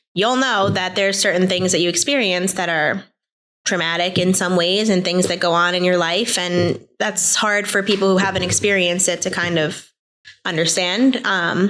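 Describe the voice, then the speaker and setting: The woman's voice sits at a medium pitch. Her intonation is fairly even and her loudness very even. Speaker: app founder. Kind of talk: interview. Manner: fast.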